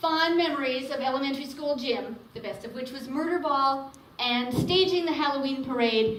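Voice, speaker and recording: A woman with an Upper Midwest accent talks at a moderate pace in a high pitch, with ordinary pitch variation and hardly any pauses. Her loudness swings widely over noticeable background noise. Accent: Upper Midwest American. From Minnesota. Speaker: spiritual teacher. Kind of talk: personal storytelling talk.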